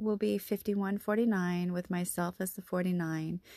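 The sound is dry and close, with no echo. A woman's voice comes through in a dark, mellow tone. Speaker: podcaster. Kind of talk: reading aloud. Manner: hesitant, with fillers.

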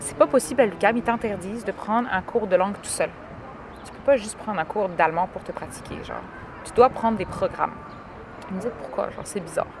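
Over noticeable background noise, a woman with a medium pitch talks at a very fast pace with long, frequent pauses and ordinary pitch variation. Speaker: podcast host. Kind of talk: casual chat. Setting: outdoors in a park.

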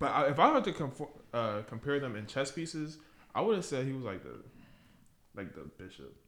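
A man's fairly high voice with vocal fry, lively intonation, big swings in loudness, a fairly quick pace, and long, frequent pauses. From Caribbean. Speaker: podcast co-host. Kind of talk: casual chat.

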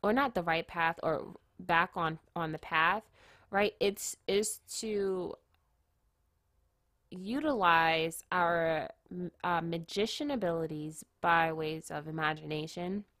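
Very slowly, a woman speaks with a fairly low pitch, ordinary pitch variation and a bright, sharp tone. The sound is dry and close with no echo, in a very clean recording over a silent background. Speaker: tarot reader. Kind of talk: tarot reading. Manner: halting.

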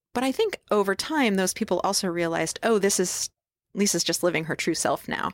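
In a very clean recording with a silent background and a dry, close sound with no echo, a woman with a plain, everyday voice talks at a fairly quick pace, at medium pitch with ordinary pitch variation. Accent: American. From upstate New York. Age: 50s. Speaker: artist and illustrator. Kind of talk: interview conversation. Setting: podcast lounge at a conference.

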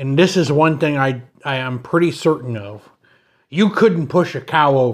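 With lively intonation, a man speaks in a plain, everyday voice at a fairly high pitch. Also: moderate pace. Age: 40s. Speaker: Bible study podcast co-host. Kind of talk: casual chat.

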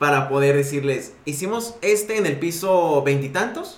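Noticeable background noise mixes with audible room echo. The speech moves at a moderate pace with ordinary pitch variation. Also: man. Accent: Mexican. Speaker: podcast co-host, design studio owner. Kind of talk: casual chat.

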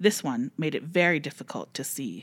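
With an ordinary speaking voice, a woman talks at a moderate pace and a fairly low pitch, using lively intonation. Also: very clean recording, silent background. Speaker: library podcast host. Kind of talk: casual chat and reading aloud stories.

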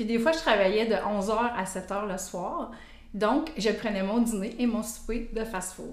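Recorded with audible room echo and noticeable background noise, a woman speaks at a fairly slow pace in a fairly high pitch. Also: ordinary pitch variation. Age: 50s. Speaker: cancer survivor, app member. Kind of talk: casual interview.

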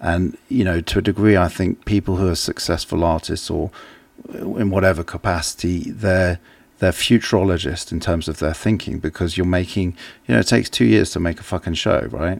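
A man's very deep, low voice with vocal fry, ordinary pitch variation and a fairly quick pace. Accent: English. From England. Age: 40s. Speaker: artist. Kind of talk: casual chat.

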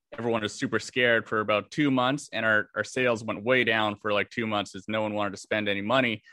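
A man speaks with monotone, flat intonation. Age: 20s. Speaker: business owner. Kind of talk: coaching conversation.

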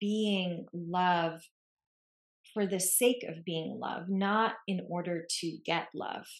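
A woman talks at a very slow pace. Her medium pitch shows ordinary variation. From Lebanon. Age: 40s. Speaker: podcast host, embodiment and relationship coach. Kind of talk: casual chat.

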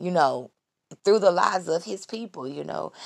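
The tone is animated. The speaker is a woman. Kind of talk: devotional talk.

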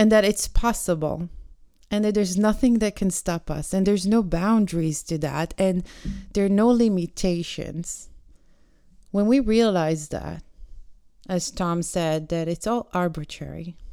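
At a fairly slow pace, a woman talks in a dark, mellow tone at medium pitch with ordinary pitch variation. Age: 40s. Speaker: podcaster. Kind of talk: solo monologue. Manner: reflective, hesitant with fillers.

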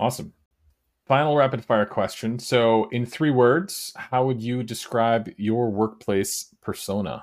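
In a very clean recording with a silent background, a man with an American accent uses a plain, everyday voice at medium pitch, speaking at a fairly slow pace with ordinary pitch variation. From US Midwest. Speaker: podcast host. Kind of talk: casual interview chat.

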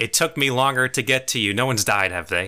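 Putting on a character voice, a man of medium pitch rattles along at a very fast pace with lively intonation, on a very clean recording with a silent background. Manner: hurried, worried.

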